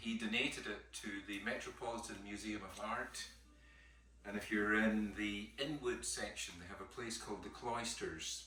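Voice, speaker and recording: Big swings in loudness mark a man speaking at a moderate pace with a Scottish accent, amid noticeable background noise and audible room echo. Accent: Scottish, genuine. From Scotland, Caithness (far north). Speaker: painting professor. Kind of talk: lecture. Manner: casual, conversational.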